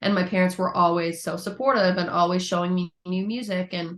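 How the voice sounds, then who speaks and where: A woman with a plain, everyday voice talks at a fairly quick pace against a quiet background. Her pitch is fairly low and her intonation fairly even. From Newfoundland, Canada (St. John's). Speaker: musician. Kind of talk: interview. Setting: podcast.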